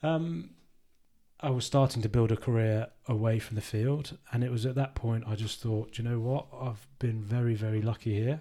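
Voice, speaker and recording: At a moderate pace, a man speaks in a medium-pitched, dark, mellow voice that is somewhat breathy, with fairly even intonation. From Worcester, England. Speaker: retired rugby player, financial adviser. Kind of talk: casual interview. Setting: in person, socially distanced.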